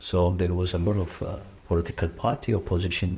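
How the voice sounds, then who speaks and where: Somewhat breathy speech in an Ethiopian accent carries fairly even intonation. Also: man. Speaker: former asylum seeker, charity general manager. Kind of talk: interview testimony. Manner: halting, many fillers.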